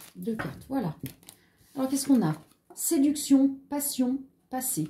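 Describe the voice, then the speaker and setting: A woman speaks with a high pitch in a dark, mellow tone. Her pace is fairly slow and her intonation lively. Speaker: tarot card reader. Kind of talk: tarot reading video. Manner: animated.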